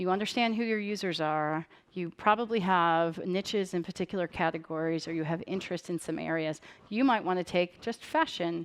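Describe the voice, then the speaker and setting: A woman's fairly low voice at a fairly quick pace against a quiet background. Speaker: tech company developer program lead. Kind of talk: conference presentation. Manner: fast.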